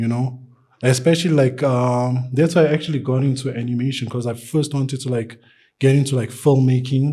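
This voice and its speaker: A man's somewhat breathy voice with a dark, mellow tone and monotone, flat intonation. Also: medium pitch for a man, fairly quick pace. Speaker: artist. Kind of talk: interview. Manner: halting.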